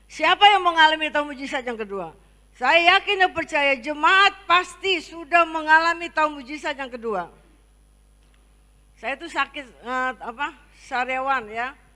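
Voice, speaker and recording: A woman talks in a high, raised and projected voice with a bright, sharp tone, lively intonation and big swings in loudness. Her pace is fairly slow, and the recording is very clean with a silent background. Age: 60s. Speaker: pastor. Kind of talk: sermon. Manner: halting.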